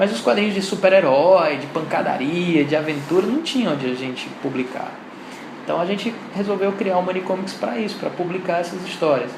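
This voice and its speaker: Amid noticeable background noise and audible room echo, a high-pitched man speaks fairly quickly with lively intonation. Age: 40s. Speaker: comics artist. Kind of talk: interview.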